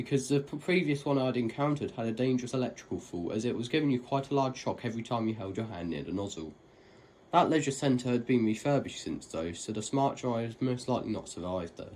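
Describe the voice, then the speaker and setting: Very fast, lively speech from a man with a British accent, at a medium pitch. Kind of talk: narrated voiceover for a lift video. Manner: casual, conversational.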